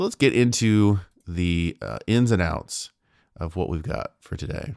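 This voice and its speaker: With a very deep, low pitch and vocal fry, a man speaks at a fairly slow pace with very wide pitch swings, in a dry, close sound with no echo and a very clean recording with a silent background. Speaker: podcast host. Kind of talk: solo monologue. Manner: halting, many fillers.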